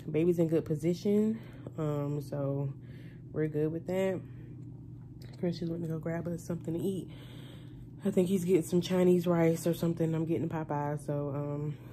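A woman speaks with a very deep, low pitch and a dark, mellow tone, her intonation fairly even. Long pauses come often, over light background noise. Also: moderate pace. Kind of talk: casual vlog chat. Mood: relaxed, slightly nervous. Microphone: phone near.

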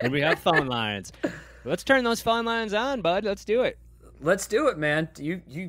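A man at a high pitch with very wide pitch swings, over light background noise. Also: moderate pace. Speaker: podcast host. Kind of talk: casual comedic banter. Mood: jokey, laughing. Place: studio. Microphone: studio mic.

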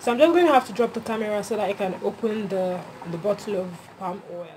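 A woman with a Nigerian accent talks at a fairly quick pace with ordinary pitch variation over light background noise. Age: 20s. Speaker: voice-over artist. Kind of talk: casual cooking vlog to camera. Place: kitchen. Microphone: phone near.

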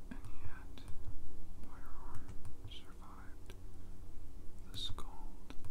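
The speech comes at a very slow pace with long, frequent pauses. Loud background noise runs underneath. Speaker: ASMR whisperer / gameplay narrator. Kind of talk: ASMR whispered gameplay commentary. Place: home room.

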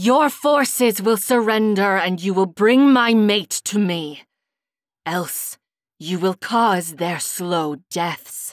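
A woman uses a growling, put-on character voice with medium pitch and lively intonation, speaking at a very slow pace in a very clean recording with a silent background. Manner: snarling, threatening.

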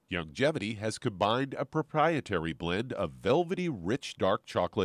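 A man's voice with vocal fry and very wide pitch swings at a moderate pace, dry and close with no echo, in a very clean recording with a silent background. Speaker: radio co-host and announcer. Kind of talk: scripted ad reading.

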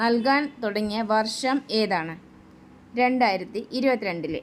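This is a woman with a normal speaking voice. Her pitch sits fairly high, with lively intonation. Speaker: YouTube quiz and exam-prep presenter. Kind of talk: quiz-style tutorial.

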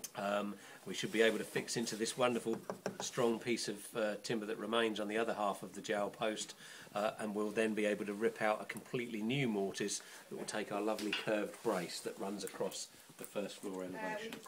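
Against noticeable background noise, a man with a fairly low voice speaks fairly quickly in a flat monotone. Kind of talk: explanatory demonstration. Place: workshop.

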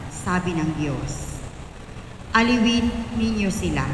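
Very slow speech with ordinary pitch variation, audible room echo and light background noise. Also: woman. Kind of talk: scripture reading. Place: church. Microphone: handheld.

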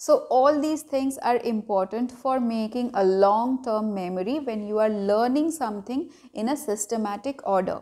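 Speaking with a Bengali accent, a woman has a fairly high pitch and a dark, mellow tone. She moves at a moderate pace with hardly any pauses and ordinary pitch variation over a quiet background. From India (Bengali). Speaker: parenting vlogger. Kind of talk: tutorial. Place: home room.

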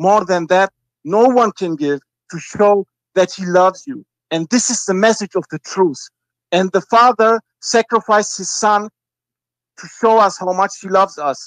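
The speaker goes at a moderate pace with ordinary pitch variation, big swings in loudness and long, frequent pauses, in a dry sound with no echo against a quiet background. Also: man, high pitch for a man. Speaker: caller. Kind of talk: phone-in call. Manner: halting. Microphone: video call.

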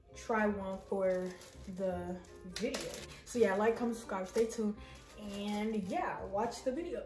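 A woman at a fairly slow pace, with audible room echo and clear music in the background. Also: ordinary pitch variation. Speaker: vlogger. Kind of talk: casual vlog chat.

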